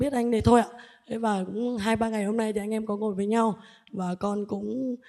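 Her tone dark and mellow, a woman speaks at a medium pitch and a moderate pace. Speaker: Buddhist lay follower. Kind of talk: personal question to a monk. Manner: halting, many fillers and repetitions.

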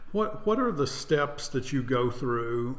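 The speech moves at a fairly slow pace. Noticeable noise sits in the background. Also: man. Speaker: theater artistic director and podcast host. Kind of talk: casual interview chat.

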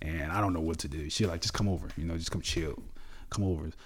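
This man speaks very quickly. There is some breathiness in his voice. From New Orleans, Louisiana. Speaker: bodybuilder. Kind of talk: interview.

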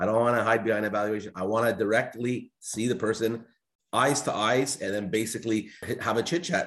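A man with a fairly low pitch talks at a fairly quick pace in an ordinary speaking voice. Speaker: entrepreneur. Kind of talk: casual discussion.

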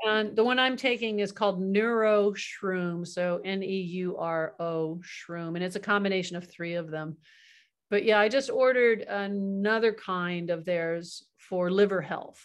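At a fairly slow pace, a woman with an ordinary speaking voice talks at medium pitch with ordinary pitch variation against a quiet background. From California. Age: 60s. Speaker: hypnotherapist. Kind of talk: casual chat.

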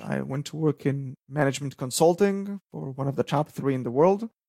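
Speaking with an Israeli accent at a moderate pace and with ordinary pitch variation, the voice has a dry, close sound with no echo. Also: man, hardly any pauses, big swings in loudness. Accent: Israeli, noticeable. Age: 30s. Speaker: startup founder, electrical engineer. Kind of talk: interview.

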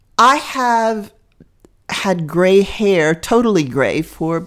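On a very clean recording with a silent background, a woman speaks at a very slow pace with lively intonation. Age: 60s. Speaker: interview guest. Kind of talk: personal testimony. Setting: kitchen table at home.

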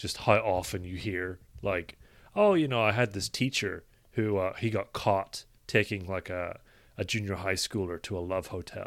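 The speaker has an Irish accent, heard in a very clean recording with a silent background. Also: man, fairly low pitch for a man, fairly even intonation, moderate pace. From Ireland. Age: 20s. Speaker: podcast co-host. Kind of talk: casual chat. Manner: soft-spoken.

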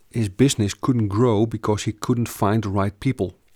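A man with a Dutch accent speaks at a fairly low pitch with fairly even intonation, the sound dry and close with no echo on a very clean recording with a silent background. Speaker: business coach / company founder. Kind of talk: sales pitch / information session. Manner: halting, many fillers and repetitions.

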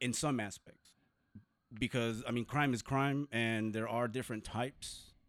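In a very clean recording with a silent background, a man with an American accent and a plain, everyday voice speaks at a moderate pace, with very even loudness and fairly even intonation. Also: medium pitch for a man. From southern California (Compton and San Diego). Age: 40s. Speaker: formerly incarcerated community activist. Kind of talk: interview.

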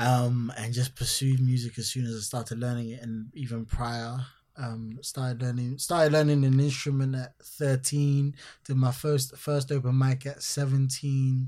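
A man's medium-pitched voice, dark and mellow in tone, somewhat breathy, with monotone, flat intonation. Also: moderate pace. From Ghana. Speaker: musician and entertainer. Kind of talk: casual interview chat. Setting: London.

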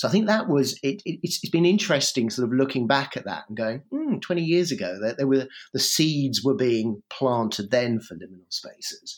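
A man talks at a medium pitch and a moderate pace. His pitch swings very widely and his loudness shifts in big swings. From England, Norfolk. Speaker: PhD researcher and blogger. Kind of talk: casual chat. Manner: halting.

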